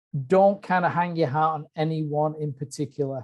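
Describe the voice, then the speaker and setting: Someone with an English accent speaks at a moderate pace. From UK. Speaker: bird identification expert giving a webinar talk. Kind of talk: webinar lecture. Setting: online webinar. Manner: hesitant, many fillers.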